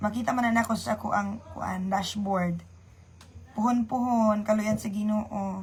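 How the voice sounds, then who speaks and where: A woman's somewhat breathy, fairly high voice with monotone, flat intonation at a fairly slow pace. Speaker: livestreamer. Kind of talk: casual livestream chat. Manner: chatty, greeting viewers by name.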